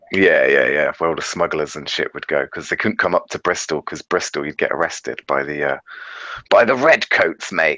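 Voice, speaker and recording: Speaking at a moderate pace with a British accent, a man comes across dry and close with no echo. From England, Devon. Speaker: YouTuber. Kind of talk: casual chat. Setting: video call.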